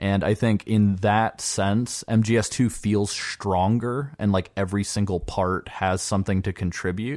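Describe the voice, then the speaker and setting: A man with an ordinary speaking voice talks at a fairly slow pace and fairly low pitch, with hardly any pauses and fairly even intonation. The recording is very clean, with a silent background. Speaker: podcast host. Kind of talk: casual chat.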